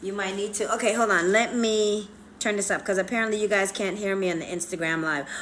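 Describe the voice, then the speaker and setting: Amid audible room echo, a woman at medium pitch speaks at a very fast pace with fairly even intonation. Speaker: plastic surgery vlogger. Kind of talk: casual chat. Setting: Instagram live stream. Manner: loud.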